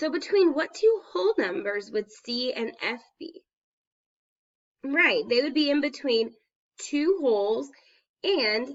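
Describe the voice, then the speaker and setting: A woman's high voice with very wide pitch swings. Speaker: teacher. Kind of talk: math lesson for students. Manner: explanatory, step by step.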